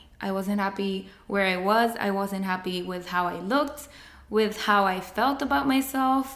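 Speaking with a Spanish accent, a woman keeps a fairly slow pace. Her pitch is medium, with ordinary variation. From Mexico, Monterrey. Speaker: podcast co-host. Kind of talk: casual chat. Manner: halting.

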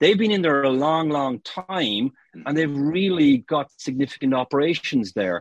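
Lively in intonation, a man speaks in a fairly high pitch with an Irish accent. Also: moderate pace. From Ireland, Cork. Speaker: marketing consultant. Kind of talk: casual interview.

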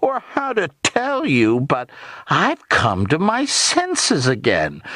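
A man speaks slowly in a put-on character voice, pitched fairly high for a man. His tone is fairly bright, and his pitch swings very widely. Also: dry, close sound with no echo.

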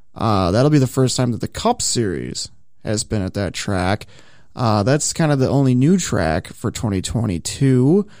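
A man with an American accent and a normal speaking voice talks at a moderate pace and medium pitch, his intonation lively. The recording is very clean, with a silent background. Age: 30s. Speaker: motorsports podcast host. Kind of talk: casual chat. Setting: studio.

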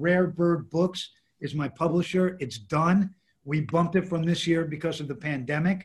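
Speaking with a New York accent, a man holds a high pitch and fairly even intonation. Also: moderate pace. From New York, Lower East Side. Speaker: music industry executive. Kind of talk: interview. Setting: video call.

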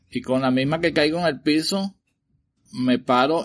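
Speaking fairly slowly with a Venezuelan accent, a man shows ordinary pitch variation. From Venezuela, Caracas. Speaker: listener's father sharing a paranormal story. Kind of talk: recorded personal storytelling.

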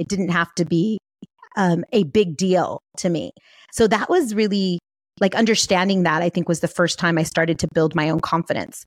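A woman with an American accent and an ordinary speaking voice, fairly low in pitch, with ordinary pitch variation at a moderate pace, in a very clean recording with a silent background and a dry, close sound with no echo. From US, San Fernando Valley, Los Angeles. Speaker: life and business coach. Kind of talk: interview.

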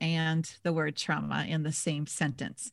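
A woman with an American accent, fairly low-pitched with vocal fry, at a moderate pace in a very clean recording with a silent background. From Minnesota. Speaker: leadership coach. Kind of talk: casual interview chat.

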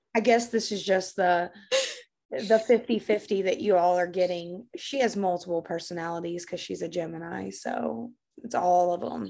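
Against a quiet background, a woman with a Kentucky accent speaks in a dark, mellow tone with ordinary pitch variation. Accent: Kentucky Southern US. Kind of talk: casual chat.

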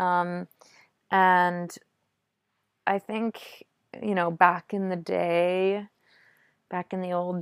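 The speaker has an American accent. The sound is dry and close with no echo, on a very clean recording with a silent background. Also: woman. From US, Maine. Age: 30s. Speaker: Olympic biathlete. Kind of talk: interview.

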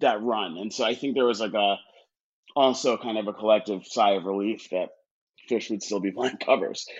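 Fairly even intonation marks a man's fairly low voice, which moves at a moderate pace. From Connecticut, US. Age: 30s. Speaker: music publicist and arts education director. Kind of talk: casual chat. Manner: frequent fillers and hesitations.

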